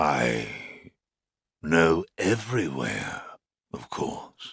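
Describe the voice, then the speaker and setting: A man puts on a raspy character voice at a very deep, low pitch. He speaks at a very slow pace with very wide pitch swings. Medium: read story. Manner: terse, polite.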